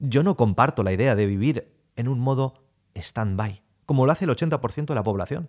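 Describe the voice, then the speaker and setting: At a medium pitch and moderate pace, a man speaks in an animated tone with lively intonation, the sound dry and close with no echo. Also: very clean recording, silent background. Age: 30s. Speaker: sales coach podcaster. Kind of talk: motivational monologue.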